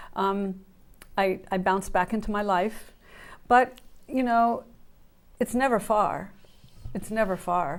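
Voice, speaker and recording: Pausing long and often, a woman talks at a fairly slow pace with medium pitch and ordinary pitch variation. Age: 60s. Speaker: guest sharing mental illness recovery. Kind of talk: interview testimony. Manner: halting.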